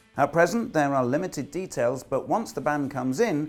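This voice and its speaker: A man's fairly high voice at a moderate pace with very wide pitch swings, music in the background. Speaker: property news presenter. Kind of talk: news presenter script read.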